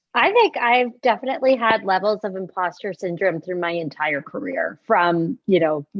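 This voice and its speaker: A woman's medium-pitched voice at a moderate pace, lively intonation, hardly any pauses. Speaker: corporate senior leader. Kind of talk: panel discussion. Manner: loud.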